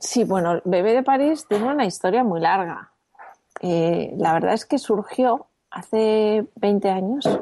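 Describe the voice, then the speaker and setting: In a plain, everyday voice, a woman speaks at a fairly high pitch and fairly slow pace with lively intonation. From Spain, Madrid. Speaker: entrepreneur. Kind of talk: interview.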